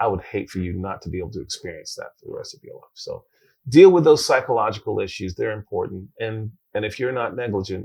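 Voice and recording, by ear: Talking at a fast pace, a man uses a fairly low pitch and lively intonation, with a slightly mellow tone, a slightly husky edge and vocal fry.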